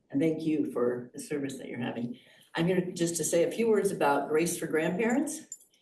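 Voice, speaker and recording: A woman's voice with ordinary pitch variation. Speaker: resident speaking at public comment. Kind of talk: public comment at committee meeting. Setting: boardroom meeting.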